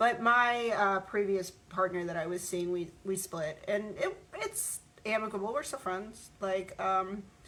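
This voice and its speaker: A woman at a medium pitch and a fairly slow pace, with ordinary pitch variation over noticeable background noise. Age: 40s. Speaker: vlogger. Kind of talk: casual monologue vlog. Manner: halting, many fillers and repeats.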